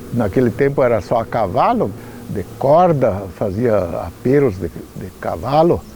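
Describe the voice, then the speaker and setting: Over noticeable background noise, a man at a medium pitch speaks at a fairly slow pace with very wide pitch swings. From Rio Grande do Sul, Brazil. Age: 80s+. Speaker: local elder. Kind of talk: testimony.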